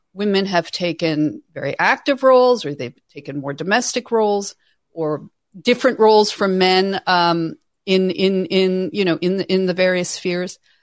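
This woman has an unremarkable speaking voice at medium pitch, with ordinary pitch variation. She talks at a moderate pace on a very clean recording with a silent background. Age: 50s. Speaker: author and writer on women's issues. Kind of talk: interview.

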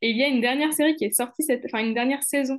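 A woman's ordinary pitch variation comes through over a quiet background. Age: 20s. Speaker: lawyer and anti-corruption consultant. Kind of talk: casual chat.

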